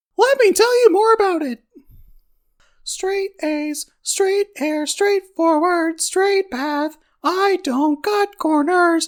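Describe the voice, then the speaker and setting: The voice is a put-on character voice. It sits at an extremely high pitch. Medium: dub.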